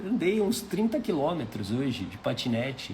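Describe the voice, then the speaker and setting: Man with a high pitch and very wide pitch swings, at a fairly slow pace, with audible room echo. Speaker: life mentor. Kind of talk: live stream talk. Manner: conversational.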